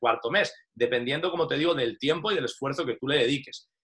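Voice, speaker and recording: This man speaks at a fairly quick pace with ordinary pitch variation. His tone is bright and sharp. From Spain, Valencia. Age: 30s. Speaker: online business promoter, former soldier. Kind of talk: sales pitch. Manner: casual, frequent filler tags.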